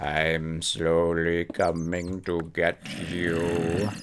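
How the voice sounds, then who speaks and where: In a put-on character voice, a man speaks at a very slow pace with a very deep, low pitch over light background noise. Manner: slow, creepy.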